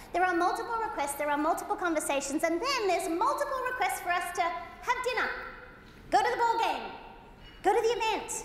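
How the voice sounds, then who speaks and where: Talking very fast in an Australian accent, a woman uses an extremely high pitch and lively intonation, with audible room echo around her. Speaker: motivational keynote speaker. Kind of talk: keynote presentation. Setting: stage with audience. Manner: animated.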